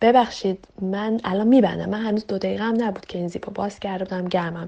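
A woman talks at a very fast pace amid noticeable background noise. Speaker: interviewee sharing a personal story. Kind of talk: casual storytelling.

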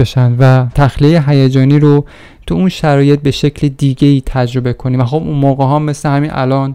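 With a dark, mellow tone, a man speaks at a fairly high pitch and with fairly even intonation. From Iran, a provincial town. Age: 40s. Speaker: podcaster. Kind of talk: personal narrative monologue.

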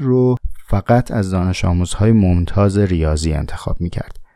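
A man's fairly low, dark, mellow voice in a Tehran accent at a moderate pace. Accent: Tehrani Persian. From Tehran, Iran. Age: 30s. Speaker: podcast host. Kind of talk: casual monologue answering listener questions.

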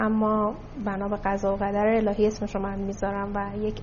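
A somewhat breathy woman's voice. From Tehran, Iran. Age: 30s. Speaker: investment company CEO. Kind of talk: interview.

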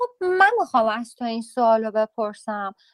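A high-pitched woman with lively intonation at a moderate pace, the sound dry and close with no echo. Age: 40s. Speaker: journalist and writer. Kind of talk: interview.

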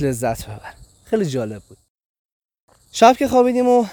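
Animated in tone, a man speaks with very wide pitch swings. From Iran. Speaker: travel podcaster. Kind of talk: travelogue narration.

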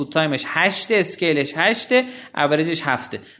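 At a moderate pace, a man speaks with a high pitch and a bright, sharp tone. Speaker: podcast founder and guest. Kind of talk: casual interview chat about business.

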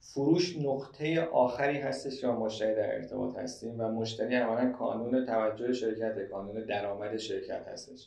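Noticeable background noise sits behind a man speaking. His pitch is medium, with ordinary variation. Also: moderate pace, hardly any pauses. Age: 30s. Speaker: sales manager. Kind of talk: interview.

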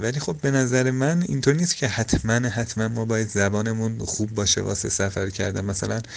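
Lively intonation in a man's medium-pitched voice, moving at a moderate pace. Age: 20s. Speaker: traveller and hitchhiker. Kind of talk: interview. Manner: halting.

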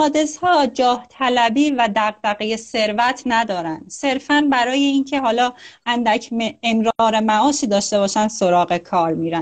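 Against a quiet background, a woman speaks at a fairly high pitch with lively intonation and a moderate pace. She leaves hardly any pauses and keeps her loudness very even. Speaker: psychology teacher on Jungian archetypes. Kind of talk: live stream talk. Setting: video call live stream.

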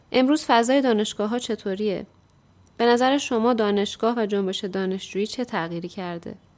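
A woman with an unremarkable speaking voice, fairly high in pitch, with ordinary pitch variation and a moderate pace. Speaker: radio show presenter. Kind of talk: scripted narration.

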